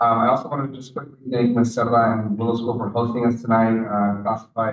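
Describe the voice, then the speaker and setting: A man speaks with a Spanish accent. His pitch is medium and his pace fairly quick. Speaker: school board member. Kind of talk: public meeting remarks. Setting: school board meeting with audience. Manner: halting, many fillers.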